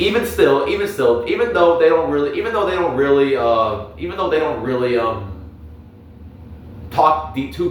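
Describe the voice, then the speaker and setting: A man speaks with audible room echo and noticeable background noise. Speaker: youtuber, anime commentator. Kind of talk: casual monologue review. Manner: halting, many repetitions and filler words.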